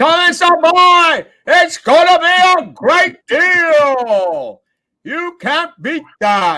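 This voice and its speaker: Someone puts on a character voice at an extremely high pitch, speaking very slowly on a very clean recording with a silent background. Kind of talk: salesy, casual. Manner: pushy, hyped-up sales pitch.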